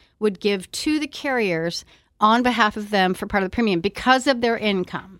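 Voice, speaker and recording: Lively in intonation, a woman's medium-pitched voice is an unremarkable speaking voice on a very clean recording with a silent background. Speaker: Medicare insurance director. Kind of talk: radio interview, informational discussion.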